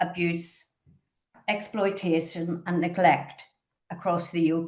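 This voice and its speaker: A woman with a Northern Irish accent speaks at a fairly low pitch. Her intonation is monotone and flat, broken by long, frequent pauses. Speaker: charity trustee chairing a conference panel. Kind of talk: conference panel introduction. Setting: conference. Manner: formal.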